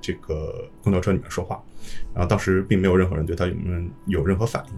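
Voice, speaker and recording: Somewhat breathy, a man's voice moves at a very fast pace. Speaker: teacher leaving Japan. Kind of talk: casual chat.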